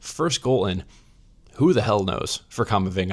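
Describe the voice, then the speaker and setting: A man is speaking. His voice is quiet. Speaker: football reaction youtuber. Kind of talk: match reaction commentary. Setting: hotel room. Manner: restrained, not yelling.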